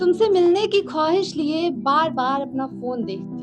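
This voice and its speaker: A woman speaks with music in the background. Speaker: spoken word poet. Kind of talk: live spoken word poetry at open mic.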